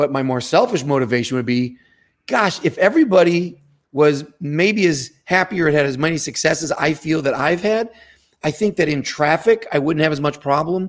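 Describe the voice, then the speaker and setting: A plain, everyday voice belongs to a man speaking at a moderate pace with a fairly high pitch and ordinary pitch variation. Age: 50s. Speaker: martial arts instructor. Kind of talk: casual chat.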